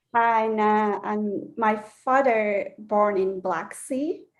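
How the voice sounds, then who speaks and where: With a Turkish accent, a woman speaks at a fairly high pitch with ordinary pitch variation. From Turkey, Istanbul. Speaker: belly dancer. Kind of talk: interview. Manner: halting.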